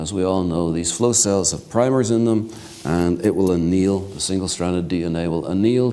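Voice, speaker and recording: Audible room echo surrounds a man with a very deep, low pitch. He talks at a moderate pace with ordinary pitch variation. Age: 60s. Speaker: keynote speaker, genomics researcher. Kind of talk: lecture.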